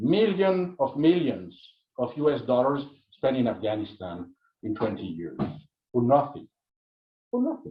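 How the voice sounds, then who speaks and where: A somewhat breathy, medium-pitched male voice with very wide pitch swings, long and frequent pauses, and a moderate pace. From Italy. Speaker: anthropologist. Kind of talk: lecture. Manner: halting.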